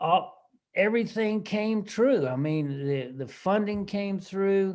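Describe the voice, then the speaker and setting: Lively intonation carries the speech at a very slow pace. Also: man. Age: 60s. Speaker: farmer and conservationist. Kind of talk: presentation. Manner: halting.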